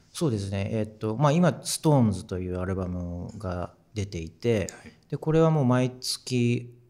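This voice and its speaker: On a very clean recording with a silent background, a man with a fairly low pitch and a dark, mellow tone speaks with lively intonation. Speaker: musician. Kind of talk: casual chat.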